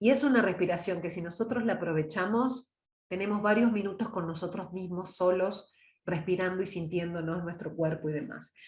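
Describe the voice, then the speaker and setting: Calm in tone and somewhat breathy, a woman speaks at a medium pitch with ordinary pitch variation. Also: moderate pace. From Córdoba, Argentina (Las Varillas, Villa María). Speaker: oratory teacher and trained announcer. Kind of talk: online lecture. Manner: calm, conversational.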